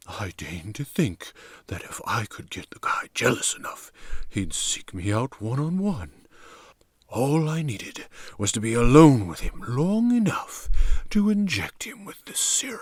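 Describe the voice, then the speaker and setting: In a put-on character voice, a man talks at a moderate pace and a fairly high pitch, his loudness swinging widely. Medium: read story. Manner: smooth, matter-of-fact.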